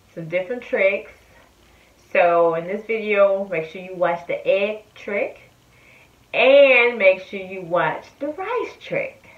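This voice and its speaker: With audible room echo, a woman speaks at a very slow pace. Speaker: food reviewer. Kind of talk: casual vlog chat. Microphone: phone near.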